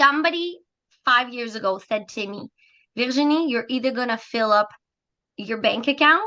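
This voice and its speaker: With a slight French Canadian accent, a woman talks at a moderate pace. Her pitch varies in an ordinary way. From Quebec, Montreal. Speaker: business opportunity presenter. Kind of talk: sales pitch.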